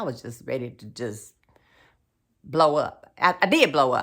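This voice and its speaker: In a very clean recording with a silent background, a woman with a very deep, low voice speaks with lively intonation. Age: 50s. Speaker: realtor and lifestyle vlogger. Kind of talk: personal video diary monologue.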